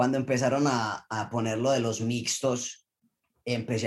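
A man's medium-pitched voice stays monotone and flat as he talks at a fairly slow pace. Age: 20s. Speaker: Olympic diver. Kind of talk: interview.

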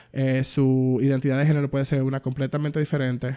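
On a very clean recording with a silent background, a man with a fairly high pitch and a dark, mellow tone speaks at a moderate pace. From Dominican Republic. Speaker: filmmaker and queer activist. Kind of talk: casual interview.

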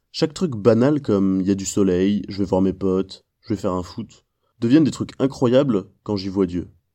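Against a quiet background, a man's fairly low voice has a dark, mellow tone and lively intonation. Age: 20s. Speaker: youth ministry worker. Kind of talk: testimony.

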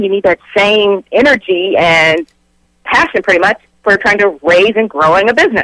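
In a dry, close sound with no echo, a woman with an unremarkable speaking voice speaks at a fairly quick pace, her medium pitch showing ordinary variation. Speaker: certified life coach. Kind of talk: radio interview, motivational talk. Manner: warm, upbeat, motivating.

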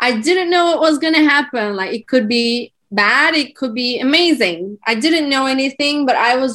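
A woman's high-pitched voice with a Turkish accent and lively intonation. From Turkey. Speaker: branding entrepreneur. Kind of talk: podcast interview, casual chat. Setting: video call, remote.

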